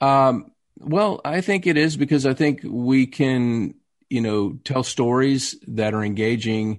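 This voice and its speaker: Against a quiet background, a man with a Texas accent speaks at a fairly slow pace. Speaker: actor. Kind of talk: casual interview.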